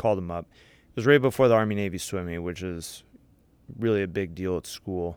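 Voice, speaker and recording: Big swings in loudness in a very clean recording with a silent background. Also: man, very deep, low pitch for a man, ordinary pitch variation. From US Midwest, St. Louis, Missouri. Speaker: former Navy SEAL officer, now in finance business. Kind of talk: casual interview chat.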